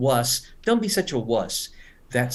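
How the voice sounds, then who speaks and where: A man talks with vocal fry and lively intonation. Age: 70s. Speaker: English teacher. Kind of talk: webinar lecture. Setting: online webinar.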